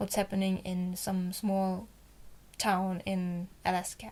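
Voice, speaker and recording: A woman speaks with a German accent at a fairly slow pace. The recording is very clean, with a silent background. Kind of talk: casual Bible reading and commentary to camera.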